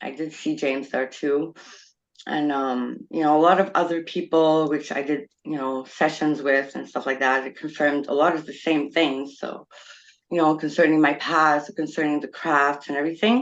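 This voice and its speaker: A woman's very deep, low voice in a French accent, fairly even in intonation, at a moderate pace against a quiet background. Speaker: experiencer panelist. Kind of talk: casual panel discussion.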